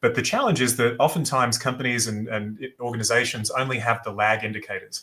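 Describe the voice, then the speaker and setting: Speaking with an Australian accent, a man uses a medium pitch and fairly even intonation. His tone is bright and sharp. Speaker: business founder and former athlete. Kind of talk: podcast interview. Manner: hesitant, many fillers.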